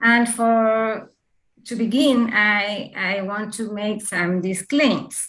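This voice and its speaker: The speaker has a Spanish accent and a very slow pace. Intonation stays fairly even. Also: woman, fairly high pitch for a woman. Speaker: author with Parkinson's disease. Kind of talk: presentation. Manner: halting.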